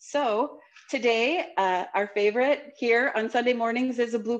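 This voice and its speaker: A woman's high voice against a quiet background. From Wisconsin, Ho-Chunk Nation; Wisconsin. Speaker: chef; guest. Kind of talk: cooking demonstration; panel discussion. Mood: warm, cheerful. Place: kitchen. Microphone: video call.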